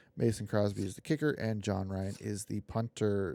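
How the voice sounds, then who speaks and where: In a dry, close sound with no echo on a very clean recording with a silent background, a man with an American accent speaks quietly at a moderate pace in a dark, mellow tone. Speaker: gaming streamer. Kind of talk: gameplay commentary. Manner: quiet, low energy; hesitant, many fillers.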